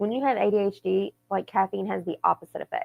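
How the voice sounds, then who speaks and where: Here a woman speaks with an American accent. Her pace is moderate. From US South. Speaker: podcast co-host. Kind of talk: casual chat.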